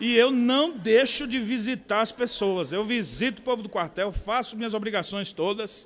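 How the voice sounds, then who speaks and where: Speaking with a strong São Paulo accent, a man uses a high pitch, ordinary pitch variation and a moderate pace. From São Paulo, Brazil. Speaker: pastor and military chaplain. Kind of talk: conference talk.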